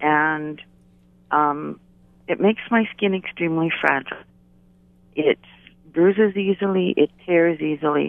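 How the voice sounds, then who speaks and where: Long, frequent pauses break up a woman's fairly low-pitched speech, which has ordinary pitch variation. Her loudness stays very even. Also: fairly slow pace. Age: 60s. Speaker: radio caller. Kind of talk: call-in question. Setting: phone call.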